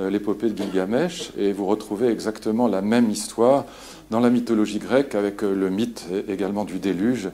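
A man with an ordinary speaking voice talks at a moderate pace and a fairly low pitch, with fairly even intonation. Light background noise is present. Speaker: lecturer. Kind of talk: lecture. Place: hall.

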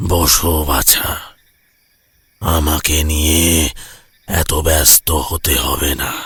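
A man's cartoonish character voice, very deep and low, monotone and flat, at a very slow pace. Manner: calm, measured.

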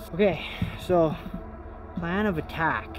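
A man's voice, dry with no echo, over clear music in the background. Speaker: ghost hunting vlogger. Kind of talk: casual vlog chat. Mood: nervous, excited. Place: open country. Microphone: handheld.

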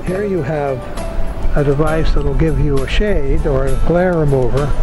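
Over clear music in the background, a man speaks at a fairly high pitch in a dry sound with no echo. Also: ordinary pitch variation, moderate pace. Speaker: inventor. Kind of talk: product demonstration to camera. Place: waterside. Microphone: phone near.

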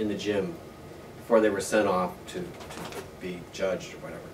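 A man talks in a fairly low pitch with fairly even intonation. Noticeable background noise runs behind him. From US Midwest, northwest Ohio. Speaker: oral history interviewee. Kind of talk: oral history interview. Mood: relaxed, reflective. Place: home room.

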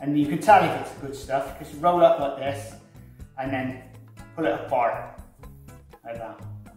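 A man at a fairly slow pace with long, frequent pauses and big swings in loudness, audible room echo and faint music in the background. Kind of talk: tutorial. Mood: relaxed and chatty. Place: kitchen.

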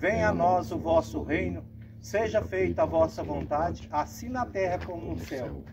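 Noticeable background noise runs behind words delivered at a fairly slow pace. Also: man. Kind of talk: prayer and short sermon. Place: open country. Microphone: camera far.

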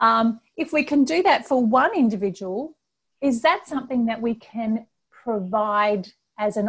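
A somewhat breathy voice speaks at a fairly slow pace against a quiet background. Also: woman. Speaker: presenter. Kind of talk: webinar presentation. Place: home room. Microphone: earbuds.

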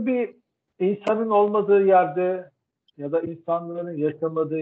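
A man speaks at a fairly slow pace. His pitch varies in an ordinary way. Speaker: professor. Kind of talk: lecture. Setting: video call. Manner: halting. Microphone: video call.

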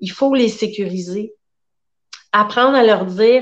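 A woman with a fairly high pitch speaks at a moderate pace with fairly even intonation against a quiet background. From Quebec. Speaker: therapist; guest. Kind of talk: interview. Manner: warm. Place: home room. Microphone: video call.

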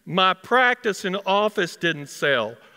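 Against a quiet background, a man with a high pitch and a Texas accent speaks at a very slow pace. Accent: Texas twang. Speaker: dentist. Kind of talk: live storytelling performance. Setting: performance hall. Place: stage. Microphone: headset.

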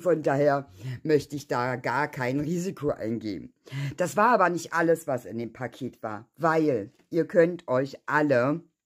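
A woman with a very deep, low voice talks at a fairly slow pace. Her intonation is lively, and the background is quiet. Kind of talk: casual vlog chat. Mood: touched, grateful.

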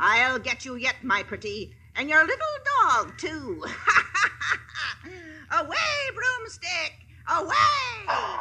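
A put-on character voice pitched extremely high, with very wide pitch swings. It moves at a very slow pace, broken by long, frequent pauses. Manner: spiteful, menacing.

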